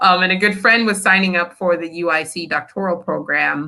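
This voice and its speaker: Animated in tone, a woman speaks with an American accent. Her pitch is medium, with ordinary variation. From Nigeria, then southern Illinois and Atlanta, US. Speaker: school principal. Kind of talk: interview.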